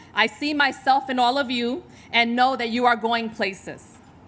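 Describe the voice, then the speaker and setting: In a New York accent, a woman speaks at a moderate pace. Her voice is high, with ordinary pitch variation. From New York, Puerto Rican family. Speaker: hospital executive. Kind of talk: speech at a charity luncheon. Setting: stage with audience.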